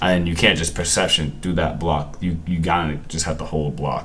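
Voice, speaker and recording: Audible room echo surrounds the speech. A man delivers it at a moderate pace. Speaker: gaming content creator. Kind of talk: gameplay commentary. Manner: halting, repeats words and self-corrects; casual, relaxed slang.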